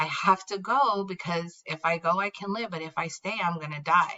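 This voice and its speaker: Pitch variation is ordinary in what is a normal speaking voice. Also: woman. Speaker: teacher. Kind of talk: classroom read-aloud with explanation. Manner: casual, conversational.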